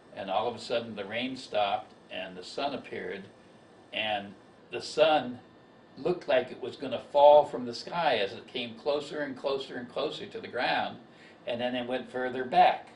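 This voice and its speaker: Against noticeable background noise and audible room echo, a man at medium pitch talks with big swings in loudness. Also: ordinary pitch variation, moderate pace. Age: 60s. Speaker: amateur filmmaker telling a personal story. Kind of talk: casual monologue. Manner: halting, many fillers and repetitions.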